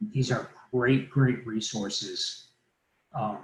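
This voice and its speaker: Somewhat breathy male speech with ordinary pitch variation. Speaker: mortgage lender presenting a training. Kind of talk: live online training presentation. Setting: livestream webinar.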